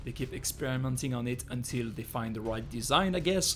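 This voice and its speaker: Music plays behind a man with a strong French accent. His pitch is medium and his intonation lively. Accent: thick French. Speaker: gaming YouTuber. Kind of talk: video commentary.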